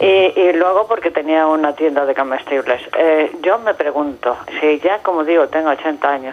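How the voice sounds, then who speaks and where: Against noticeable background noise, a woman speaks at a moderate pace with fairly low pitch. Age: 80s+. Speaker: caller. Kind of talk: call-in to TV debate show. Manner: halting, hesitant.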